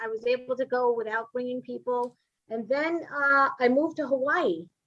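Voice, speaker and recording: A woman's high voice with a Brooklyn accent, ordinary pitch variation and a moderate pace. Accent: New York (Brooklyn). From Brooklyn, New York. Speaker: comedian and writer. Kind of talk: casual interview chat. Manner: chatty, animated storytelling.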